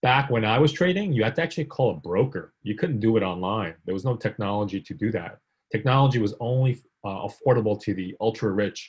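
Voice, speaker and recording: Talking very fast with lively intonation, a man with an American accent uses a medium-pitched, somewhat breathy voice. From US, from South Korea at age five. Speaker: technology executive and adjunct professor. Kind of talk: talk with Q and A. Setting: video call.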